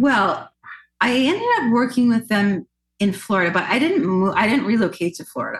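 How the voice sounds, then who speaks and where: With a Canadian accent, a woman speaks in a plain, everyday voice at a fairly quick pace. Her pitch is fairly high and her intonation is lively. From Nova Scotia, Canada. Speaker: singer and actress. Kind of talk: interview conversation.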